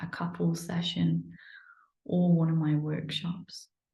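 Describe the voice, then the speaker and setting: Her voice somewhat breathy and fairly low in pitch, a woman speaks with audible room echo. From northern England, Manchester. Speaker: energy healer. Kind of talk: informal promotional talk to camera. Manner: hesitant, many fillers.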